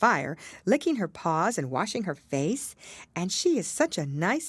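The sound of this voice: This is an unforced reading voice.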